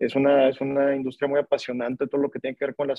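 At a fairly quick pace, a man talks in a monotone, flat way at a medium pitch. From Monterrey, northern Mexico. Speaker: real estate entrepreneur. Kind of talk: interview. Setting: live video stream. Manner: halting, with fillers and repetitions.

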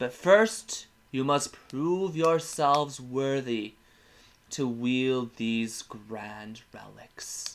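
At a very slow pace, a man speaks in a put-on character voice pitched medium. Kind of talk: solemn fantasy proclamation. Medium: actual play. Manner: formal, ceremonial.

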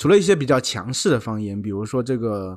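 Against a quiet background, a man with an ordinary speaking voice talks at a fairly quick pace with lively intonation. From southern China. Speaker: podcast co-host. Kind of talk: casual chat.

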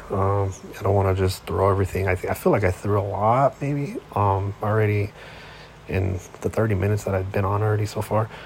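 With noticeable background noise behind him, a man with a fairly low voice talks at a fairly quick pace with fairly even intonation. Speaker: sports podcast host. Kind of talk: casual solo monologue. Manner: halting, many fillers.

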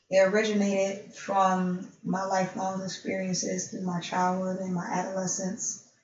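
The voice is somewhat breathy, with an American accent and monotone, flat intonation. It moves at a moderate pace with hardly any pauses, and audible room echo surrounds it. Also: woman, medium pitch for a woman. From Buffalo, New York. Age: 40s. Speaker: radio show host and perfume entrepreneur. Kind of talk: casual interview.

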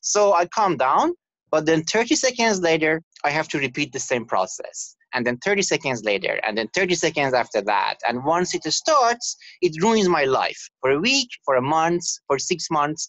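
A man speaks at a moderate pace in a fairly high pitch. His pitch swings very widely. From Canada. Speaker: novelist and university English teacher. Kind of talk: interview.

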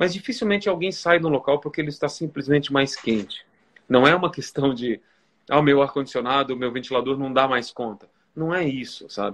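This man's fairly high voice moves at a fairly quick pace, its pitch shifting in an ordinary way. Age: 40s. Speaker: photographer and author. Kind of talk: interview. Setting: Instagram live video. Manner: halting, many repetitions.

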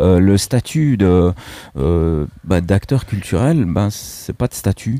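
A man speaks with a dark, mellow tone and lively intonation. His pace is fairly slow, and the sound is dry and close with no echo. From Switzerland. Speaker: radio co-host. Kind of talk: radio talk show.

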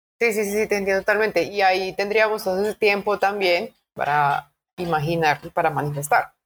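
A plain, everyday voice, a woman at medium pitch, fairly quick, with ordinary pitch variation. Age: 30s. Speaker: podcast co-host. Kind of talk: casual chat.

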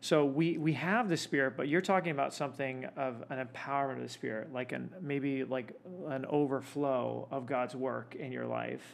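Medium in pitch with ordinary variation, a man talks in an unremarkable speaking voice at a moderate pace with hardly any pauses. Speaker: podcast host. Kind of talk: casual podcast interview.

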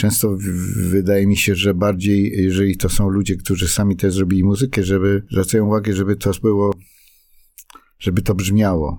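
A man talks at a fairly quick pace in a fairly low pitch, dark and mellow in tone. His loudness stays very even and his intonation is monotone and flat. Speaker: songwriter and playwright. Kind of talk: casual interview. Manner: halting, with repetitions.

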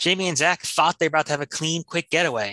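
A bright, sharp tone at a very fast pace, dry and close with no echo, over a quiet background. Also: man. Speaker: improv comedian and narrator. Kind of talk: improvised comedy narration.

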